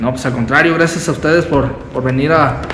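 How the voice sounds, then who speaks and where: A man speaks at a fairly high pitch. Room echo is audible and background noise is noticeable. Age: 20s. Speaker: amateur wrestler. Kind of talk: interview.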